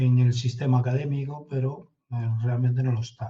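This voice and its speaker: A man of medium pitch speaks at a moderate pace in a dark, mellow, somewhat breathy voice with monotone, flat intonation. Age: 60s. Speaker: intelligence consultant. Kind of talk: interview.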